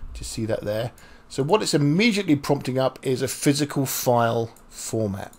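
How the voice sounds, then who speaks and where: A man's somewhat breathy voice with lively intonation. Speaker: programming instructor. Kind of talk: tutorial. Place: home room.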